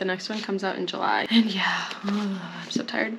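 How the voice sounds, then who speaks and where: A woman amid noticeable background noise. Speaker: book vlogger. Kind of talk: casual vlog talk to camera.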